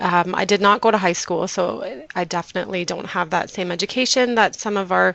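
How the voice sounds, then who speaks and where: Someone speaks at a very fast pace with noticeable background noise. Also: woman. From Canada (moved from Mexico at age four). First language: Low German. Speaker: community health worker and interpreter. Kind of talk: presentation. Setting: webinar.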